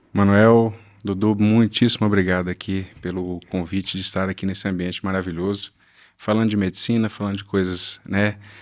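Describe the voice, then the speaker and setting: Recorded very cleanly against a silent background, a man with a fairly low pitch speaks at a moderate pace in a monotone, flat intonation. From Brazil, Northeast (Natal, Rio Grande do Norte). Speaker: plastic surgeon. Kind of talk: interview. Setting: studio.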